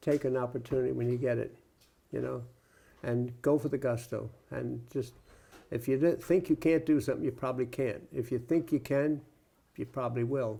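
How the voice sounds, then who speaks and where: A dark, mellow voice at a fairly quick pace with ordinary pitch variation and long, frequent pauses, on a very clean recording with a silent background. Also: man, medium pitch for a man. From New York City (Brooklyn). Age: 90s. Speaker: war veteran. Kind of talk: oral history interview. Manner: halting.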